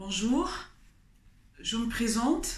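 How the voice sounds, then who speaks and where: The speaker has a Congolese accent and ordinary pitch variation. Room echo is audible, and background noise is noticeable. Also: woman. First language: Kikongo (speaking French). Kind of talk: testimony. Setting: studio. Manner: halting, with hesitations.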